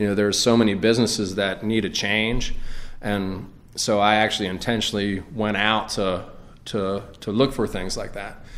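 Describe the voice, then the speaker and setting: Speaking in an American accent with a fairly low pitch, a man delivers his words in a flat monotone at a moderate pace, with audible room echo around him. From Greenville, South Carolina. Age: 40s. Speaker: bar owner and entrepreneur. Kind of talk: interview. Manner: halting, many fillers.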